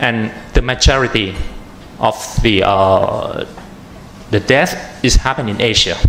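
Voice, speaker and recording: A man with a Thai accent at a fairly slow pace, long, frequent pauses, and noticeable background noise. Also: medium pitch for a man, ordinary pitch variation. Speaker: atmospheric chemist, researcher. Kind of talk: panel presentation. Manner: halting, many fillers.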